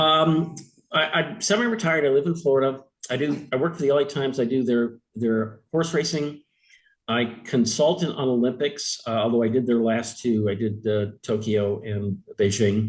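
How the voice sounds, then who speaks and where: A man talks at a medium pitch. His pace is moderate and his pitch variation ordinary. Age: 60s. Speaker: retired sports editor. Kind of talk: interview. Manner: hesitant, many fillers and restarts.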